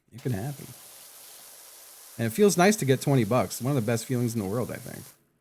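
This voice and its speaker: Talking very fast, a man sounds somewhat breathy, with lively intonation. His loudness swings widely. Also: medium pitch for a man. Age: 40s. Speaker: video game streamer. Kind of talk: casual live stream chat. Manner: casual, profane.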